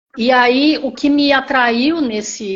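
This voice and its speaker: A woman's high-pitched voice. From Brazil, Campinas (São Paulo state). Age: 60s. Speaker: retired teacher, program participant. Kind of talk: testimony. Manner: halting.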